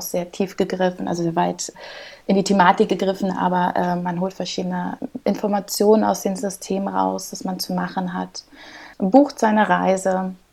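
Against noticeable background noise, a woman of medium pitch speaks at a moderate pace with fairly even intonation. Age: 30s. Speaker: clinical research associate. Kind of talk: interview.

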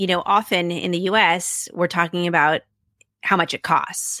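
With a bright, sharp tone and a fairly low pitch, a woman talks at a moderate pace in a very clean recording with a silent background and a dry, close sound with no echo. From US Pacific Northwest, Seattle. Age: 40s. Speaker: journalist and podcast host. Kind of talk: interview conversation.

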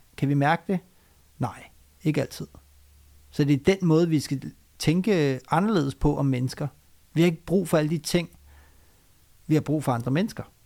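The voice has a dark, mellow tone. Long, frequent pauses break up the speech. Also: man, fairly high pitch for a man, ordinary pitch variation, moderate pace, very clean recording, silent background. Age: 40s. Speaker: doctor, author and public speaker. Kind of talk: interview conversation. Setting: guest's private home.

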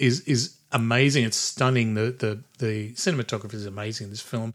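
Someone talks at a fairly quick pace in an Australian accent, keeping fairly even intonation. The recording is very clean, with a silent background. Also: man. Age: 60s. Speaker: podcast host. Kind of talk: casual chat.

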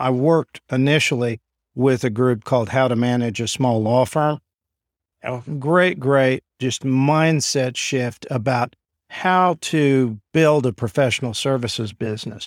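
In an American accent, a man with an unremarkable speaking voice talks at a fairly slow pace, medium in pitch with ordinary pitch variation, on a very clean recording with a silent background and a dry, close sound with no echo. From Oklahoma (Enid). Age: 50s. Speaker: lawyer and law firm owner. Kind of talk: interview.

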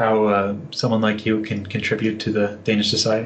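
With an unremarkable speaking voice, a man talks at a medium pitch and a fairly quick pace. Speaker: podcast co-host. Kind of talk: interview conversation.

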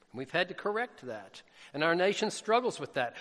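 A man speaks with a Southern US accent. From US South, Jackson. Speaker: missionary preacher. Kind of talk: sermon.

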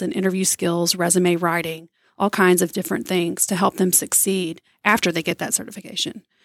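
An ordinary speaking voice at a moderate pace, with a dry, close sound with no echo and a very clean recording with a silent background. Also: woman. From East Texas (Tyler). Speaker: nonprofit executive director. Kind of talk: radio interview.

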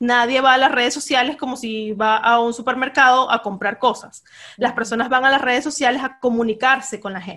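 Against a quiet background, a woman talks at a fairly quick pace in a high pitch, with a bright, sharp tone and fairly even intonation. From Venezuela. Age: 20s. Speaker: journalist and communications consultant. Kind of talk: interview.

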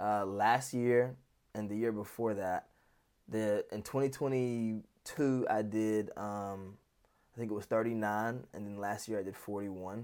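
With an American accent, a man uses an ordinary speaking voice, fairly low-pitched for a man, at a fairly slow pace with fairly even intonation, in a very clean recording with a silent background. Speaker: wedding videographer. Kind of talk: interview.

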